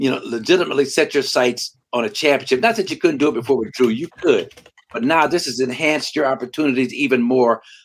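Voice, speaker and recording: This man talks at a very fast pace in a fairly high pitch with an animated tone. His pitch varies in an ordinary way. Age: 60s. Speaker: former basketball player and broadcaster. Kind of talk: podcast interview.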